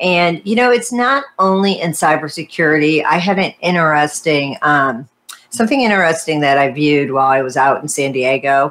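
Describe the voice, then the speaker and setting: With an American accent, a woman speaks at a moderate pace with a very deep, low pitch and lively intonation. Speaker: podcast host. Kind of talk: casual interview. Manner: upbeat, chatty.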